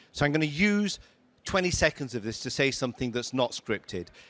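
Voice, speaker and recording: An animated tone in a northern English accent, at a moderate pace, on a very clean recording with a silent background. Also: man. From northern England, Lancashire. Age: 60s. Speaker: tech company CEO. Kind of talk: fireside chat on stage.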